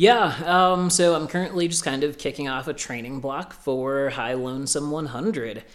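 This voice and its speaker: A man with an American accent uses an ordinary speaking voice at a fairly high pitch. He keeps a moderate pace with ordinary pitch variation and hardly any pauses. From US Midwest, Illinois. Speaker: ultrarunner. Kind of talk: casual interview. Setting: in person, sitting together.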